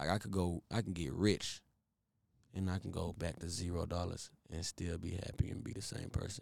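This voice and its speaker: Very deep and low in pitch, a man speaks with an American accent and ordinary pitch variation. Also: moderate pace. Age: 20s. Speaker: singer. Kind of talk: casual chat.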